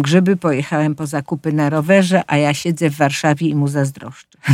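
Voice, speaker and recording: A woman talks at a fairly quick pace with a very deep, low pitch. Her intonation is monotone and flat, on a very clean recording with a silent background. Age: 70s. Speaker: senior fashion influencer and model, author. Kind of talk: casual interview.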